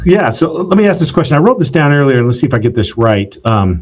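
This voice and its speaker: A man with a somewhat breathy voice speaks with lively intonation. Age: younger than 77. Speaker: podcast host, founder. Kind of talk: podcast interview.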